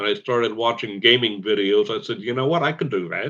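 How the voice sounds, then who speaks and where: The man speaks with an American accent in a bright, sharp tone. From Pittsburgh, western Pennsylvania. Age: 50s. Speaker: gaming YouTuber. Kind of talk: casual livestream chat. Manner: halting, with repeated words.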